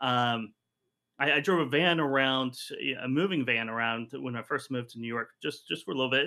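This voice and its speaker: A man's medium pitch with ordinary pitch variation at a fairly quick pace. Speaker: freight sales expert. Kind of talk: interview. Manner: halting, repeats words.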